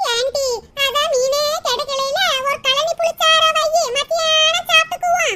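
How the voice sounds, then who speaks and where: This cartoonish character voice is extremely high-pitched, swings very widely in pitch, and moves at a very slow pace. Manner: scolding, grumbling.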